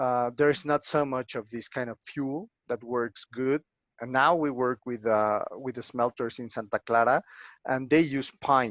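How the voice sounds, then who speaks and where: Fairly slow delivery with fairly even intonation in a Spanish accent. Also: man, medium pitch for a man. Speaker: archaeologist. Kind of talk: lecture Q&A. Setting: online video lecture. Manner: halting, many fillers.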